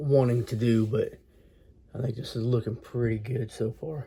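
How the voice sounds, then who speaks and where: In a dark, mellow tone with a somewhat breathy quality, a man talks at a medium pitch with fairly even intonation. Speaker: model train hobbyist. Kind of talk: hobby tutorial. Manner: casual, halting with fillers.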